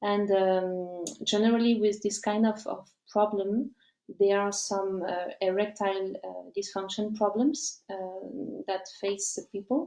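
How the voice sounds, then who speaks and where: A woman with a French accent, medium pitch, fairly even intonation, and a fairly slow pace. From France. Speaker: company representative. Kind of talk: live presentation. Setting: live stream. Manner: halting.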